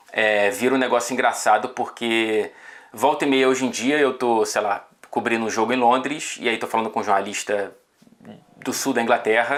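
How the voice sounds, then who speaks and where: A man with a normal speaking voice, medium in pitch, at a moderate pace with fairly even intonation. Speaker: football journalist. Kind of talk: casual chat.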